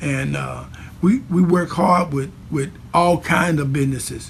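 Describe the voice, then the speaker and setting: Very slow speech amid noticeable background noise. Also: man. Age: 60s. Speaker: church leader. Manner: halting with many fillers.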